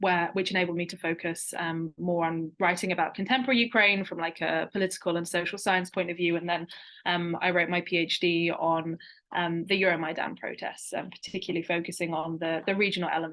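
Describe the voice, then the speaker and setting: A woman with a British accent, fairly low pitch and a fairly quick pace. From eastern England, rural. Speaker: postdoctoral researcher. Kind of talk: webinar interview.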